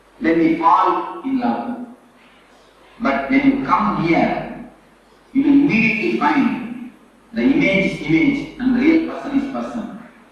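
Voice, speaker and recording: Long, frequent pauses break up a man's speech, pitched extremely high with very wide swings. Audible room echo and noticeable background noise fill the recording. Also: fairly slow pace. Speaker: spiritual teacher. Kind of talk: lecture. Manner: slow.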